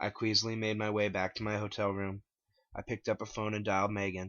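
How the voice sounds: The voice moves at a fairly quick pace with little pitch movement and a fairly bright tone.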